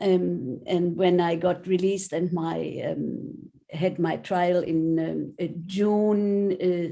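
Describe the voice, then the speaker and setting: A woman with a fairly low pitch and a dark, mellow tone speaks at a very slow pace. Her intonation stays fairly even, with hardly any pauses. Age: 70s. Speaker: retired psychotherapist. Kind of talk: panel self-introduction. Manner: halting.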